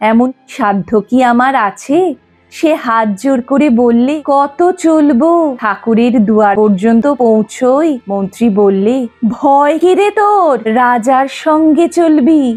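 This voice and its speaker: Over music in the background, a woman with a high pitch speaks with lively intonation and very even loudness. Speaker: poetry reciter. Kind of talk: poetry reading.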